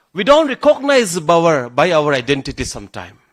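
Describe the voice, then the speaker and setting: Speaking fairly slowly with a northeastern Indian accent and very wide pitch swings, this voice comes through a very clean recording with a silent background. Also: man. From Meghalaya, India (Garo community). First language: Garo. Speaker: government official / chief guest speaker. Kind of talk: ceremonial speech. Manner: halting, with restarts and repetitions.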